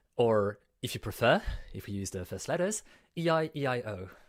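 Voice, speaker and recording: A man with a French accent. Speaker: conference host. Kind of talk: event hosting. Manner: casual.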